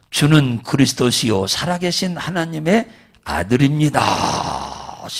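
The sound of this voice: Using a put-on character voice, a man talks at a fairly slow pace in a fairly high pitch with lively intonation.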